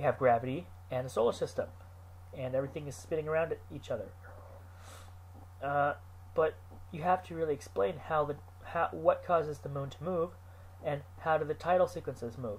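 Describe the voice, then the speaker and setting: This man talks at a fairly quick pace, broken by long, frequent pauses. His voice has vocal fry and very wide pitch swings. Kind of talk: unscripted talk to camera.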